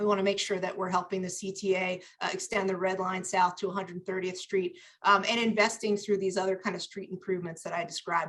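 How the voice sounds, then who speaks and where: A woman talks at a very fast pace in a flat, monotone intonation. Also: medium pitch for a woman. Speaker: city transportation official. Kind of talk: panel presentation.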